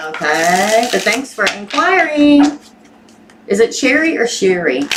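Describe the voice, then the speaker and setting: Speaking fairly slowly with a Southern US accent, a woman uses a fairly high pitch with very wide swings and very even loudness, over noticeable background noise. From Missouri, US. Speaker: tarot reader. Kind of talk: live-stream tarot reading. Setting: live stream with chat. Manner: casual, chatty.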